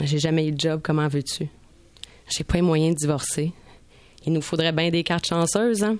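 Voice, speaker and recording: Her pitch fairly low, a woman talks at a moderate pace with fairly even intonation and long, frequent pauses. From Montreal. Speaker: radio columnist. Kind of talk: scripted narration.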